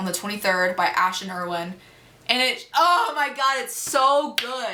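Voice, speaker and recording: Her pitch high and swinging very widely, a woman speaks at a fairly slow pace over noticeable background noise. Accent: American. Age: young. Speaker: YouTuber. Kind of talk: casual Q&A chat. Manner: casual, filler-heavy.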